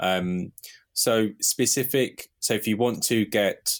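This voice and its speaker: A man with a British accent on a very clean recording with a silent background. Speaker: marketing podcast host. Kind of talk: casual chat.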